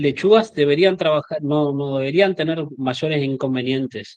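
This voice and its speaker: The man speaking has a fairly high pitch. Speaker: agronomist and sales representative. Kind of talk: expert Q&A in an online meeting. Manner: halting, many repeated words.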